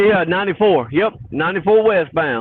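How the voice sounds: A man's high-pitched voice with a slightly husky edge, lively intonation and a Southern US accent. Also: moderate pace.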